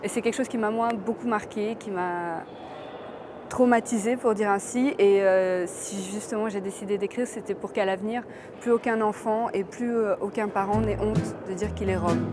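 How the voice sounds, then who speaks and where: A woman talks at a moderate pace with a medium pitch and fairly even intonation. Noticeable background noise sits behind her. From Romania. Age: 20s. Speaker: law student and author. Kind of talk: interview answer.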